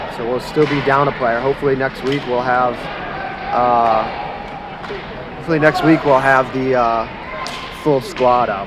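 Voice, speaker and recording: Noticeable background noise behind a male voice. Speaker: amateur youth hockey game commentator. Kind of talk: live commentary. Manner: loud, yelling.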